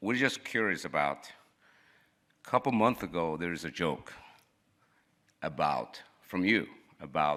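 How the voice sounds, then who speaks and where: In a Chinese accent, the speaker goes at a fairly slow pace with long, frequent pauses, a bright, sharp tone and lively intonation. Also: man, very deep, low pitch for a man. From China. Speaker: reporter. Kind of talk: press conference question. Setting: interview room.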